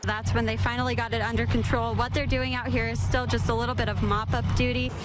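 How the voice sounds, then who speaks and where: With music in the background, a woman with a very deep, low pitch speaks at a very fast pace in a fairly even intonation. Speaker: TV news anchor and reporter. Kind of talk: live field reporting.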